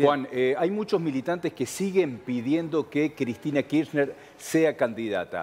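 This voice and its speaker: Here a man speaks at a fairly slow pace with lively intonation. His pitch is fairly high. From Argentina. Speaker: interviewer. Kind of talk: interview. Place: studio.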